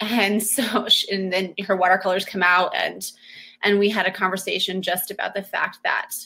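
Here is a woman speaking with an American accent. Her medium-pitched voice has a bright, sharp tone. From small US town. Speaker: homeschooling mother. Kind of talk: panel discussion webinar. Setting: video call webinar.

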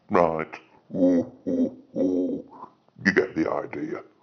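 A man in a put-on character voice at a very slow pace. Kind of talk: comedy character sketches.

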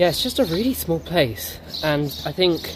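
Noticeable background noise accompanies a man speaking at a moderate pace. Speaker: travel vlogger. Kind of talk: casual vlog chat. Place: street. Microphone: phone near.

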